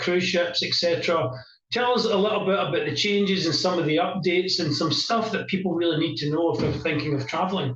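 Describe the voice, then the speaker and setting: A man with a Scottish accent talks very fast in a high voice, his pitch varying in an ordinary way. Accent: broad Scottish. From Scotland. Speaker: business interview show host. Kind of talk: interview. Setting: in the same room as the guest.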